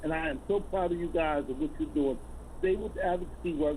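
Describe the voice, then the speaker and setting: A man talks at a moderate speed. Noticeable background noise can be heard throughout. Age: 60s. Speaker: caller. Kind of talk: casual chat. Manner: animated.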